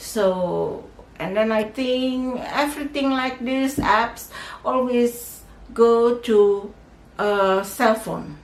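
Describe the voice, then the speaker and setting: A woman speaks at a very slow pace with a fairly high pitch and ordinary pitch variation. Audible room echo and noticeable background noise fill the recording. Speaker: tech tutorial youtuber. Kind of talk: tutorial. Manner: halting, many fillers.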